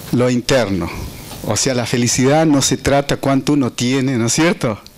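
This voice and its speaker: Noticeable background noise is heard as a man talks. His pitch is medium and his pace fairly slow. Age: 60s. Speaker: conference presenter. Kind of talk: speech introducing a speaker. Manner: halting.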